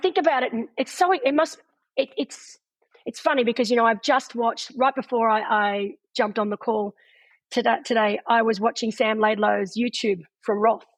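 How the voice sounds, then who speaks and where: At a moderate pace, a woman with an Australian accent speaks in a fairly high pitch against a quiet background. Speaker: retired pro triathlete and race commentator. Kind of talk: interview answer.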